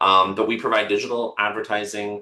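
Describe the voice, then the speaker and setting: A man with a Canadian accent talks at a fairly quick pace against a quiet background. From Canada. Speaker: marketing firm owner and practice coach. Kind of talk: webinar presentation. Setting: webinar video call. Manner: many filler words.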